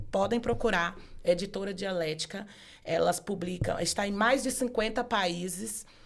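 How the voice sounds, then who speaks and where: Speaking fairly slowly, a woman keeps a medium pitch and ordinary pitch variation. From Brazilian Northeast, Bahia (Feira de Santana area). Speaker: law professor and author. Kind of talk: casual interview chat.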